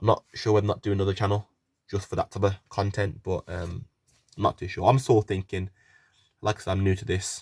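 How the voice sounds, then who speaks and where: A man with a West Midlands accent talks very fast in a fairly low, somewhat breathy voice, pausing long and often. His intonation is fairly even, and the sound is dry and close with no echo. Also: very clean recording, silent background. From West Midlands, England. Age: 20s. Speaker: YouTuber and young footballer. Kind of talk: casual Q&A vlog.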